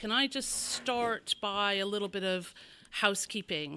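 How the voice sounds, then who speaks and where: The voice is loud, with a bright, sharp tone and ordinary pitch variation, on a very clean recording with a silent background. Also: woman. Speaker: bell ringing council presenter. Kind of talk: conference presentation. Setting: crowded meeting room with audience. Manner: halting.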